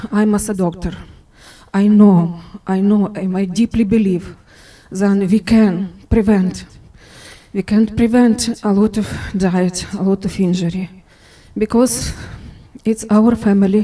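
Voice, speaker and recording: A woman with a non-native accent speaks fairly slowly, with long, frequent pauses, a medium pitch, fairly even intonation, a somewhat breathy quality and a dark, mellow tone. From Ukraine. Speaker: widow of fallen worker. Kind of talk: memorial remarks. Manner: halting.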